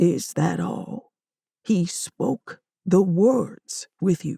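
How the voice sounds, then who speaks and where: In a booming, put-on character voice, a woman speaks at a very slow pace with a medium pitch and ordinary pitch variation, the sound dry and close with no echo. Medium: read story. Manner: formal, authoritative.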